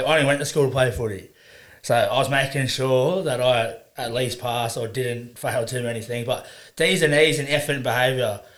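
Audible room echo surrounds a man with an Australian accent speaking at a fairly quick pace, in a medium pitch with fairly even intonation. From Queensland, Sunshine Coast. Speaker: rugby league player. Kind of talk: casual chat.

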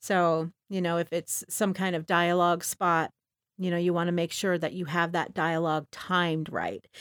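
At a moderate pace, a woman with a fairly low pitch speaks in a monotone, flat intonation, in a dry, close sound with no echo. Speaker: audio producer and voiceover artist. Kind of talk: interview. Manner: halting, stammering.

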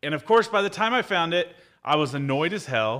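A man talks at a very fast pace with lively intonation and an animated tone. His voice has a bright, sharp tone. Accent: American. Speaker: photographer and business coach. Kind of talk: casual livestream monologue.

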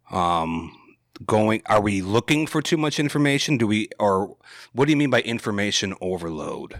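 A man with an American accent and a normal speaking voice talks at a moderate pace, fairly low in pitch, with lively intonation. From Wisconsin. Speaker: podcast guest. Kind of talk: casual chat.

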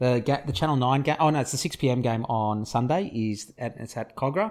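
On a very clean recording with a silent background, a man with an Australian accent speaks at a medium pitch with ordinary pitch variation. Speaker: rugby league podcast co-host. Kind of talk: casual sports chat; match review recap.

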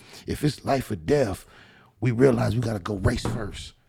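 Medium-pitched male voice with vocal fry at a moderate pace. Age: 40s. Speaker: podcast host. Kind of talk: casual chat. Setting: studio.

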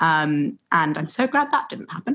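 A woman speaks in a normal speaking voice that sits fairly low in pitch. The recording is very clean, and the background is silent. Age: 20s. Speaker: theatre producer. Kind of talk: interview conversation.

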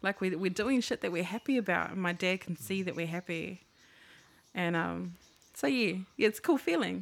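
A woman with a New Zealand accent, medium-pitched with vocal fry and ordinary pitch variation, at a moderate pace, in a very clean recording with a silent background. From New Zealand, Maori/Pacific heritage. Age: 20s. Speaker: vintage clothing seller. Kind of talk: casual chat.

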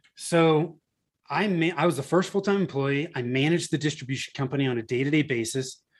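An ordinary speaking voice from a man with an American accent, fairly high in pitch with ordinary variation, at a fairly quick pace on a very clean recording with a silent background. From Northern California. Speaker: marketing agency founder. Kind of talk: interview.

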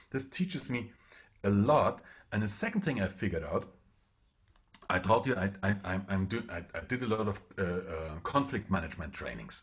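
A man with a German accent speaks at a fairly low pitch with ordinary pitch variation and a moderate pace. His voice is somewhat breathy, and he takes long, frequent pauses. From eastern Germany. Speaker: public speaking trainer and pilot. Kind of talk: interview. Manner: halting, many repeated words.

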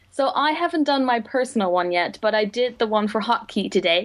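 With a Dutch accent, a woman speaks at a fairly high pitch with lively intonation. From Netherlands. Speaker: book video blogger and publishing digital coordinator. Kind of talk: casual chat.

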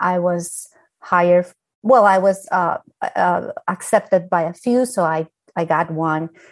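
A woman's fairly low voice with a Spanish accent, fairly slow pace and ordinary pitch variation. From Colombia. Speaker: architect. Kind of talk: panel discussion.

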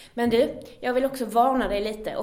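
A woman's fairly high voice at a moderate pace. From Skåne, Sweden. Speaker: podcast host. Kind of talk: casual podcast conversation.

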